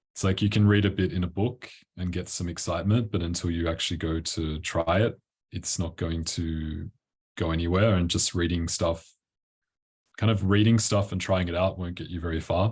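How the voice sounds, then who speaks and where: Over a quiet background, a man with an Australian accent speaks at a moderate pace in a very deep, low, somewhat breathy voice, with a relaxed tone and fairly even intonation. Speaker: tantra coach. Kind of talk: interview. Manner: casual, relaxed.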